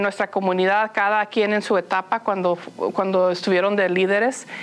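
A woman is speaking. Her pitch is medium. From Los Angeles, Mexican-American family. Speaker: nonprofit executive. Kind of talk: interview. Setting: on location at a community school. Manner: laughs often.

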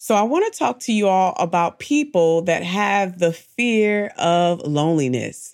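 On a very clean recording with a silent background, a woman of medium pitch talks at a fairly slow pace with lively intonation. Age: 30s. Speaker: faith-based motivational podcast host. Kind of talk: inspirational podcast monologue. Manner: animated.

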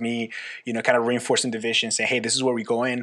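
Speaking at a very fast pace with a slight Costa Rican accent, a man uses a medium pitch and a bright, sharp tone. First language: Spanish. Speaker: youth pastor. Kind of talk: casual interview. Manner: halting, frequent repeats.

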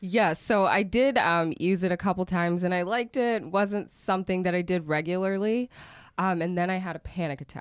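At a fairly quick pace, a woman with an American accent and a normal speaking voice talks at a medium pitch with ordinary pitch variation, recorded very cleanly against a silent background. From Oklahoma. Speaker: cannabis activist and entrepreneur. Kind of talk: interview.

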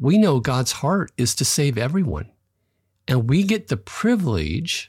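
A man's voice moves in very wide pitch swings and sounds somewhat breathy. The recording is very clean, with a silent background. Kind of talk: devotional teaching monologue.

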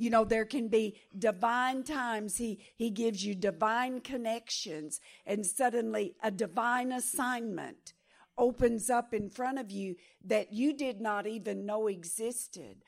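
On a very clean recording with a silent background, a woman with a fairly high pitch speaks at a fairly slow pace with ordinary pitch variation. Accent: Texan. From Texas. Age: 70s. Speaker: pastor and missionary. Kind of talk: sermon.

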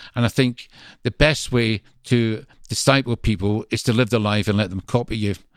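A man with a strong Glasgow accent talks at a moderate pace, at a medium pitch and with fairly even intonation. The sound is dry and close with no echo, and the recording is very clean over a silent background. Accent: strong Glaswegian Scottish. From Scotland, Greenock near Glasgow. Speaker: visiting minister. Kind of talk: interview conversation.

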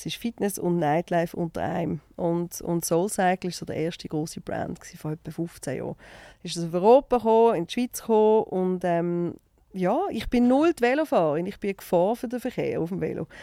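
In a Basel accent, a woman speaks at a fairly quick pace with medium pitch, ordinary pitch variation and a dark, mellow tone, the sound dry and close with no echo. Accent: Basel Swiss German dialect. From Switzerland, Basel. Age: 40s. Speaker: TV and radio presenter, entrepreneur. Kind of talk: casual interview chat.

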